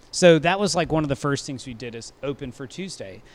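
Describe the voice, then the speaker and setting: This man has a Louisiana accent and a fairly high pitch. His intonation is lively. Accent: Louisiana Southern. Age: 20s. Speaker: restaurant manager and wine director. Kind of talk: casual interview.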